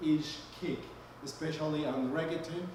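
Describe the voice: Audible room echo surrounds a man's fairly high, slightly mellow voice. His intonation is fairly even.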